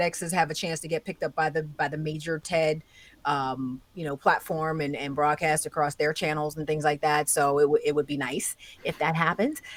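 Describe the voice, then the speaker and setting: Here a woman has a normal speaking voice, fairly low in pitch, at a moderate pace. The recording is very clean with a silent background. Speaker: tech commentator, podcast co-host. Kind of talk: casual chat.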